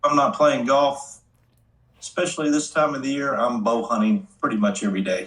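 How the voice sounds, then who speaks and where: An ordinary speaking voice from a man with an American accent, fairly high in pitch, moderate in pace, with lively intonation. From southern Illinois (Metropolis). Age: 60s. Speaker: professional golfer. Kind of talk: casual interview.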